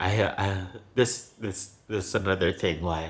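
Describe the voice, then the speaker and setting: At a very slow pace, the speaker's voice comes across somewhat breathy. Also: man. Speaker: former teacher in Japan. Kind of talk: personal vlog talk to camera.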